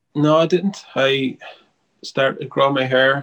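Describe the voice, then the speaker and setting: This is a man speaking. He has an Irish accent. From Ireland, Wexford. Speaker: singer-songwriter. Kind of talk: casual interview chat.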